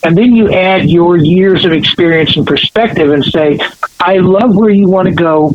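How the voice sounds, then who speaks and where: A man speaks in a high pitch against noticeable background noise. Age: 60s. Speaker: education speaker and panelist. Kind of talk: podcast interview.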